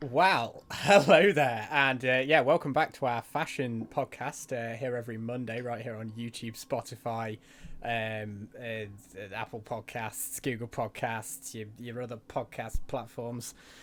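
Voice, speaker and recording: A man with a plain, everyday voice speaks at a medium pitch with ordinary pitch variation and big swings in loudness, on a very clean recording with a silent background. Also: fairly slow pace, hardly any pauses. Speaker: podcast co-host. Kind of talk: casual chat.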